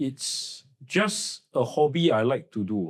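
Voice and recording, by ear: Speaking slowly, a man lets his pitch swing widely up and down. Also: medium pitch for a man.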